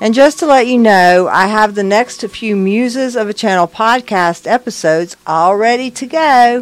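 Hers is an unremarkable speaking voice, fairly high in pitch with ordinary variation. The woman keeps a moderate pace with hardly any pauses. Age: 60s. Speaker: spiritual channel and podcaster, retired nurse. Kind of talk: personal video update.

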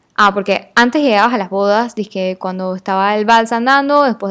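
At a moderate pace, a woman with fairly high pitch speaks in an animated tone with ordinary pitch variation. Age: 20s. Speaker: podcast host. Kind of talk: casual monologue.

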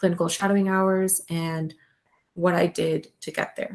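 A woman has a plain, everyday voice at a medium pitch. Her pace is fairly slow. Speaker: podcast host and medical student. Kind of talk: casual chat.

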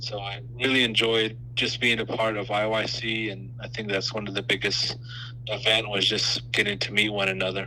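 In an American accent, the voice runs at a moderate pace with monotone, flat intonation, against audible room echo and noticeable background noise. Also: man, fairly low pitch for a man. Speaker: youth council member. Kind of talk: interview.

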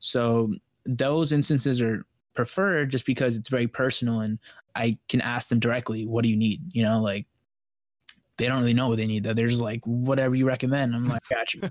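A man with an ordinary speaking voice talks at a fairly quick pace in a medium pitch with ordinary pitch variation. The recording is very clean with a silent background, giving a dry, close sound with no echo. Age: 20s. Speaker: founder of a custom PC building business. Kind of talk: casual chat.

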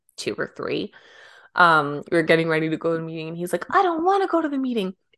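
A woman with a western Canadian accent talks at a very fast pace with ordinary pitch variation. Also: quiet background. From Canada, Vancouver Island. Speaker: podcast co-host. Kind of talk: casual chat.

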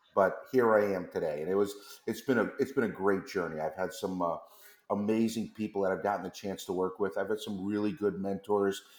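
With an American accent and an unremarkable speaking voice, a man talks at a fairly low pitch with fairly even intonation. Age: 50s. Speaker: chocolate company executive. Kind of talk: interview.

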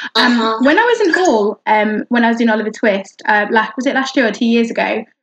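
A woman talks with a northern English accent at a moderate pace. Her pitch is fairly high. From northern England. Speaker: podcast host. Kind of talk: casual chat. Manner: animated.

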